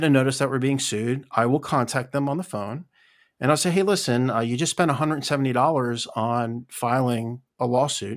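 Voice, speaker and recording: A normal speaking voice with lively intonation moves at a moderate pace. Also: man. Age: 50s. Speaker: podcaster and former leasing businessman. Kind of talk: casual chat. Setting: online group call.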